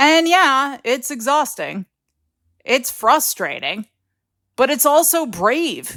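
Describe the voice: A woman does a cartoonish character voice, high-pitched and fairly bright, with big swings in pitch. She speaks slowly on a very clean recording with a silent background.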